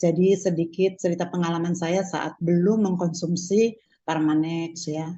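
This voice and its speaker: In a monotone, flat intonation, a woman talks fairly slowly. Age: 60s. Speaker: customer giving testimony. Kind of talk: testimony.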